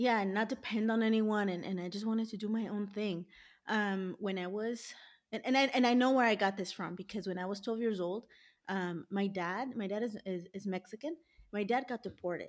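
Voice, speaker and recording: In a very clean recording with a silent background, a woman with a plain, everyday voice and an American accent speaks at a medium pitch and fairly quick pace, her intonation fairly even. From US, Los Angeles. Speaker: dietitian. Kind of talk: interview.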